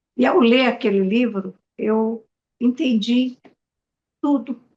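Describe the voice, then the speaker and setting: A woman's dark, mellow tone at a very slow pace, with fairly even intonation. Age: 80s+. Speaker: spiritual teacher. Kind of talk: podcast interview.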